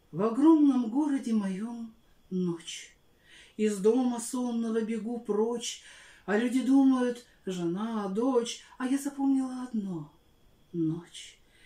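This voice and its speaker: A woman's fairly high voice with a dark, mellow tone, ordinary pitch variation, a very slow pace, long, frequent pauses, and audible room echo. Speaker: Russian language and literature teacher. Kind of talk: poetry reading. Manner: heartfelt, expressive. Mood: dramatic, expressive, wistful. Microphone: phone near.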